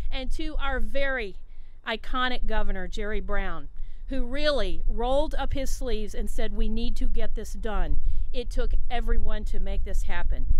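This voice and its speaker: The speaker has an American accent. Room echo can be heard in the recording. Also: woman, high pitch for a woman, ordinary pitch variation. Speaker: state legislator. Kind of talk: speech at bill signing. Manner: fast.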